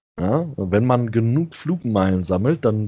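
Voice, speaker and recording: Very slowly, a man talks in a medium-pitched voice. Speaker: podcast host. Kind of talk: casual chat. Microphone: new headset.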